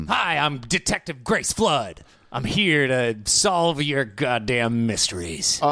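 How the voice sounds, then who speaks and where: Using a put-on character voice, a man speaks at a fairly slow pace with medium pitch and very wide pitch swings. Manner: gruff, tough.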